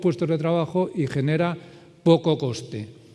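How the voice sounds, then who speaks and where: A plain, everyday voice, a man's, fairly high in pitch, with ordinary pitch variation at a moderate pace. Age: 60s. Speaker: circular economy consultant. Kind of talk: conference talk with Q&A.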